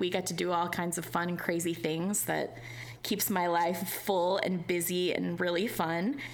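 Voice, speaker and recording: Here is a woman with an ordinary speaking voice at a fairly low pitch. She speaks at a fairly slow pace with fairly even intonation. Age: 30s. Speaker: podcast host.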